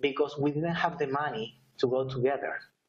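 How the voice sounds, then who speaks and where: With a strong Spanish accent, a man talks at a moderate pace. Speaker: network marketer. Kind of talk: testimony. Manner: halting.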